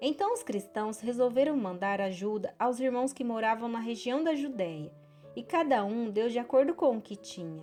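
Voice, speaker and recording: A woman's fairly high voice with very wide pitch swings, at a moderate pace, over music in the background. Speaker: Bible narrator. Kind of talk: audio Bible reading.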